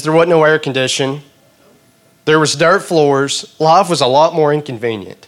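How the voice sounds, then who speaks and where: A man with a Southern US accent, fairly high pitch, ordinary pitch variation and a moderate pace. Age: 20s. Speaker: preacher. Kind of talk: sermon.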